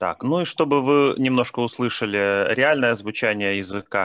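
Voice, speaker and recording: A man with an ordinary speaking voice at a moderate pace, dry, close sound with no echo, and a quiet background. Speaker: field linguist. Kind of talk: conference talk.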